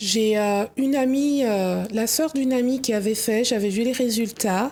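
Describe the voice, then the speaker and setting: This woman has a dark, mellow tone and shows ordinary pitch variation. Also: fairly high pitch for a woman, very even loudness. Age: 30s. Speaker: guest sharing personal experience. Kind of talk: testimony.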